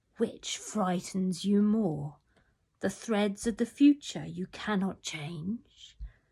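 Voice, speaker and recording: A woman's put-on character voice, raspy and medium in pitch, at a very slow pace. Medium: read story.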